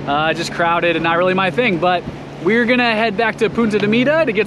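A man speaks at a high pitch. Background noise is clearly present.

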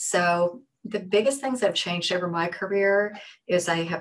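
The speaker is a woman. She talks at a moderate pace with an American accent. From small town Pennsylvania. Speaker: literacy educator and author; literacy educator. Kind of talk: interview conversation. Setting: video call. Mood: warm, reflective. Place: home room. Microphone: video call.

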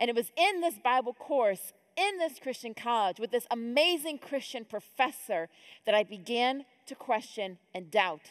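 Against a quiet background, a woman with an American accent talks with very wide pitch swings. Her loudness also swings widely. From upstate New York (Rochester); New York. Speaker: conference speaker. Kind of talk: conference talk. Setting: stage with audience. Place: hall. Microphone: headset.

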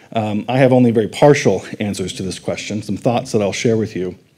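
A man speaks in a dark, mellow tone at a fairly quick pace. His pitch varies in an ordinary way. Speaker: conference speaker. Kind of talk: lecture. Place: hall.

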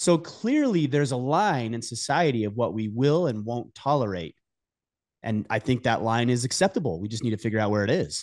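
Lively intonation from a man at a fairly quick pace, over a quiet background. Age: 40s. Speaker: podcast host. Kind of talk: casual interview conversation. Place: home room. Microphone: studio mic.

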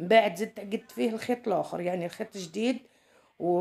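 Intonation remains fairly even throughout. The tone comes across as dark and mellow. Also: woman. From Algeria. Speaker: sewing teacher, video creator. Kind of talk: tutorial. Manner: casual, chatty. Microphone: phone near.

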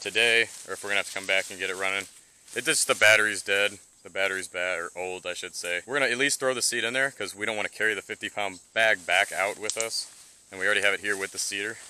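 Very fast, fairly low-pitched speech from a man, with fairly even intonation, a dry sound with no echo, and light background noise. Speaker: hunting vlogger. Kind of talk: casual vlog chat. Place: open country. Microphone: phone near.

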